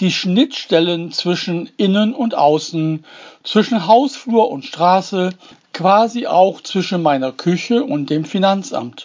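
A man speaks at a very slow pace. His voice is high in pitch with lively intonation. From Germany, Duisburg (Ruhr area). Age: old. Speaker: essayist, former postman. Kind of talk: scripted narration.

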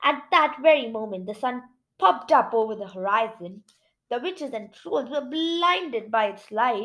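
A quiet background behind someone reading aloud in a natural voice, intonation lively

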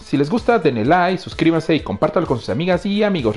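A man with a Mexican accent, animated in tone, very fast, with very wide pitch swings over noticeable background noise. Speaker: podcast host. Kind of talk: casual chat; show intro. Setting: live stream.

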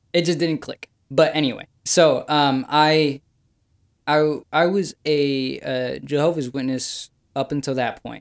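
A man's fairly slow speech in a fairly high pitch, a normal speaking voice. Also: fairly even intonation, dry, close sound with no echo. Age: young. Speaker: podcast guest, host's younger brother. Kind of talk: casual chat.

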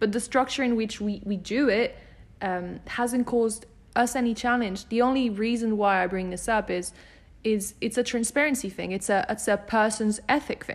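A woman talks at a moderate pace in a normal speaking voice. Her pitch is fairly high. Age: 20s. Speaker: podcast host and company CEO. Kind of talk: casual interview. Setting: in person, on a couch.

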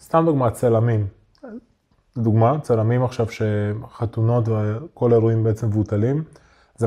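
Breathy to some degree, a man's medium-pitched voice keeps fairly even intonation. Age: 30s. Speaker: online entrepreneur, community owner. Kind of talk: casual interview chat. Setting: studio.

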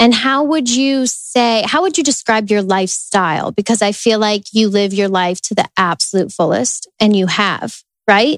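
An unremarkable speaking voice from a woman, fairly high-pitched, with lively intonation, a moderate pace and hardly any pauses. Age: 20s. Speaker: wellness podcast host. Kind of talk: interview; solo intro monologue.

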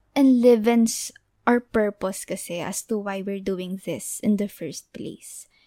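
A woman speaks fairly slowly in a dark, mellow tone. Her pitch is medium, with ordinary variation. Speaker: podcast co-host. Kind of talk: casual chat.

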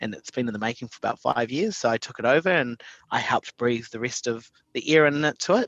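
In a dry, close sound with no echo, a man with a New Zealand accent and a medium pitch talks at a very fast pace with ordinary pitch variation and big swings in loudness. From New Zealand, Invercargill. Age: 30s. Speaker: tourism program director. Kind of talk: podcast interview.

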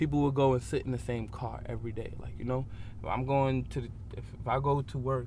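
Room echo can be heard around this voice. The man speaks at a fairly quick pace. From New York, the Bronx. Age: 20s. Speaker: subway musician. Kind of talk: interview.

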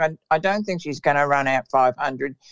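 Very deep and low in pitch, a woman speaks at a moderate pace with ordinary pitch variation. The sound is dry and close, with no echo. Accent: Australian. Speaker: greyhound trainer. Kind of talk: interview.

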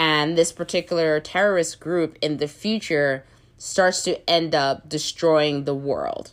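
The speech moves at a fairly slow pace with fairly even intonation. The recording is very clean, with a silent background. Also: woman. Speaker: podcast host reviewing films. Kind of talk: casual solo review. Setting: home recording during quarantine.

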